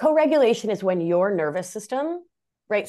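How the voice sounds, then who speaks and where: Her dark, mellow tone swings very widely in pitch as this woman speaks at a fairly quick pace against a quiet background. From Argentina. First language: Spanish. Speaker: nurse practitioner and life coach. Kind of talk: interview conversation.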